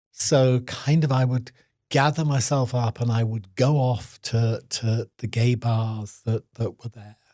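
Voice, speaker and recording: Very slowly, a man speaks at medium pitch in a dark, mellow, somewhat breathy voice with fairly even intonation, the sound dry and close with no echo. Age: 70s. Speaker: activist, HIV long-term survivor. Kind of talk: interview answer.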